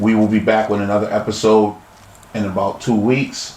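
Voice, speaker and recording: A man's fairly low-pitched voice over noticeable background noise. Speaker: podcast host. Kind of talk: interview podcast. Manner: halting.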